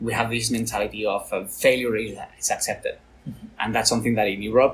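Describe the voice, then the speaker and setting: A man with a Spanish accent talks at a very fast pace. Noticeable background noise is present. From Spain, Valencia. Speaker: tech business executive, former rugby player. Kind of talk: interview.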